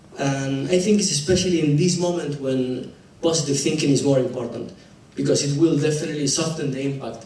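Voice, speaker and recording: With a Spanish accent, a man speaks at a fairly quick pace and with ordinary pitch variation, over noticeable background noise and audible room echo. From Argentina. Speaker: dentist and public speaker. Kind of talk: presentation talk. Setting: stage with audience. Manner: halting.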